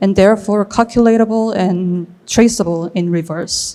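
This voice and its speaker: Speaking with a Korean accent, a woman keeps a moderate pace and fairly even intonation. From South Korea. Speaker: artist and filmmaker. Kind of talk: reading aloud. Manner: halting.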